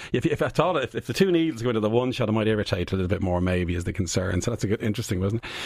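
The pace is very fast. There are hardly any pauses. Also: man, fairly low pitch for a man, lively intonation. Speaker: immunology professor. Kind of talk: radio interview. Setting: studio. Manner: animated.

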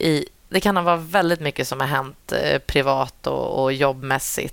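A woman with a very deep, low pitch speaks at a fairly slow pace. There is vocal fry in her voice, and her pitch variation is ordinary. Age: 30s. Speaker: dressage rider and trainer. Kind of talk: casual interview. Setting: at a horse show.

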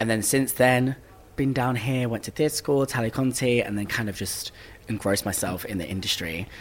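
A medium-pitched man's voice with ordinary pitch variation against noticeable background noise. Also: moderate pace. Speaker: musical theatre actor. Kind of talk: casual chat. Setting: backstage at a concert venue.

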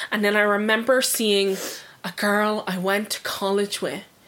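In an Irish accent, a woman talks at a fairly slow pace with a medium pitch. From Ireland. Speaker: true crime podcast co-host. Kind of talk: casual chat.

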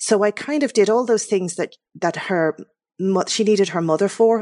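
A woman with an Irish accent, fairly quick and lively in intonation, in a dry, close sound with no echo. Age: 50s. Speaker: novelist. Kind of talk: radio interview.

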